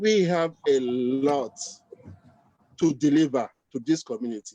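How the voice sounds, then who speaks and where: A man with a Nigerian accent speaks at a fairly slow pace, his fairly high voice dark and mellow in tone, with lively intonation. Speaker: chartered accountant, community leader. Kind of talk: panel discussion.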